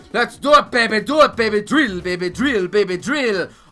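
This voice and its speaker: There is faint music in the background. A man is speaking. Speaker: let's play commentator. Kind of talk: gaming commentary, video outro.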